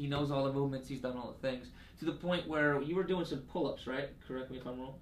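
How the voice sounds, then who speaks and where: Audible room echo surrounds a man whose fairly high voice keeps a fairly even intonation. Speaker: sports medicine health educator. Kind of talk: casual interview with explanation. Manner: halting, many fillers and repeats.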